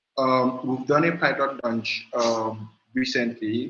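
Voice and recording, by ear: A man's fairly bright tone with a slightly husky edge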